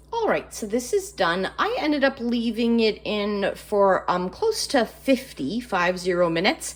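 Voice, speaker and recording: A woman with a fairly high voice talks at a fairly slow pace with lively intonation and hardly any pauses, over noticeable background noise. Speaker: home cooking vlogger. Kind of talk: cooking tutorial. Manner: casual, hesitant with fillers.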